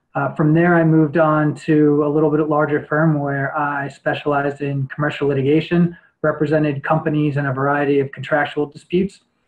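Over a quiet background, a man with an American accent talks at a fairly quick pace with hardly any pauses, his fairly high voice monotone and flat. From New York. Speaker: lawyer and judicial candidate; candidate. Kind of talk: interview answers. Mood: calm, formal. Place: home room. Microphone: webcam.

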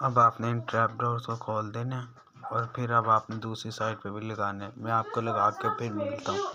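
Bright and sharp in tone, a man speaks at a moderate pace with lively intonation and fairly low pitch, in a dry, close sound with no echo.

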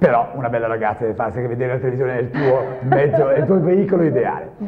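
Talking at a very fast pace, a man uses medium pitch with ordinary pitch variation. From Genoa, Italy. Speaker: radio presenter. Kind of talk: interview answer. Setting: TV studio. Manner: lively, improvised. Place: studio. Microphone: lapel.

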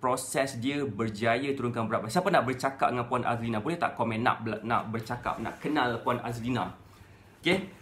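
The speaker, a man, keeps to a moderate pace. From Malaysia. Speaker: weight-loss coach. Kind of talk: Facebook Live talk. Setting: live stream. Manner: casual, conversational. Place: home room. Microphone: phone near.

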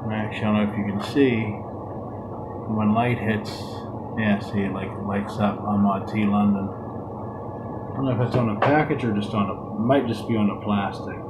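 A soft-spoken man at a moderate pace with fairly even intonation, over loud background noise. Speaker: unboxing host. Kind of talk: ASMR unboxing and tea tasting video. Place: home room. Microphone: phone near.

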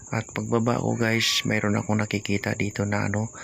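The man's pitch is fairly low and his intonation monotone and flat. He speaks at a moderate pace. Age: 60s. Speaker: vlogger. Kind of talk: vlog narration. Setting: outdoors.

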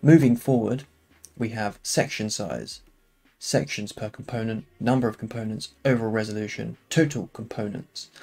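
A moderate pace of speech over background music. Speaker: game development tutorial creator. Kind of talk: tutorial. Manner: casual, with fillers.

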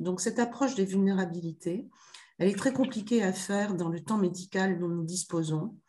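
A woman's somewhat breathy voice has a dark, mellow tone. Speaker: medical professor. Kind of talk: conference presentation. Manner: halting. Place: office. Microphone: video call.

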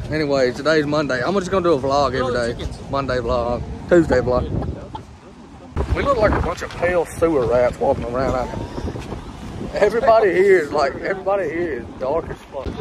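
A man with lively intonation, noticeable background noise, and a dry sound with no echo. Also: fairly quick pace. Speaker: vlogger. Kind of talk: casual vlog chat. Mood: joking, playful. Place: street. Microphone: phone near.

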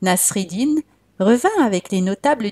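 A soothing, calm voice with a dark, mellow tone and a somewhat breathy quality. Its pitch varies in an ordinary way, recorded dry and close with no echo. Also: woman. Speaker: storyteller. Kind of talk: bedtime storytelling, guided relaxation intro then folk tale narration. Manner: soothing, calm, gentle; warm, inviting.

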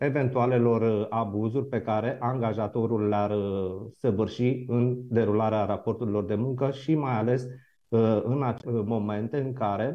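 Against a quiet background, a man speaks at a fairly slow pace with fairly even intonation. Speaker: moderator, lawyer. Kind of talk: formal introduction to a debate. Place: office.

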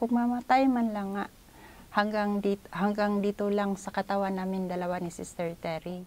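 Her tone dark and mellow, a woman speaks at a moderate pace. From Philippines. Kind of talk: testimony. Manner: halting. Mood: earnest, reflective. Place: home room. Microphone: lapel.

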